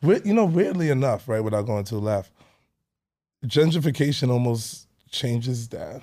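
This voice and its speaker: A man with a Brooklyn accent talks at a moderate pace in a medium pitch, his dark, mellow tone carrying lively intonation broken by long, frequent pauses. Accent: New York (Brooklyn). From Brooklyn, New York City (Canarsie). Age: 30s. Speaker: personal trainer. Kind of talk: casual chat.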